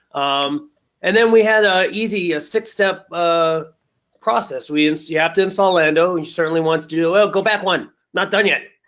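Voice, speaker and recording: Ordinary pitch variation runs through the speech. It moves at a moderate pace. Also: man, high pitch for a man. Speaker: web developer. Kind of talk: work presentation. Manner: hesitant with many fillers.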